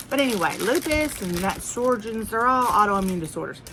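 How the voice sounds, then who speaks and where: A woman with a Southern US accent speaks at a moderate pace, her pitch swinging very widely, over noticeable background noise. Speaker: haul vlogger. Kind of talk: casual chat. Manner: rambling, conversational.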